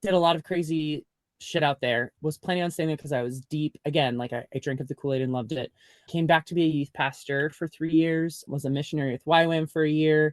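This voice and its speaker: A man's fairly high, a plain, everyday voice, at a fairly quick pace with fairly even intonation over a quiet background. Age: 30s. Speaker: memoir author, former youth pastor. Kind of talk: podcast interview. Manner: casual, filler-heavy (like, um).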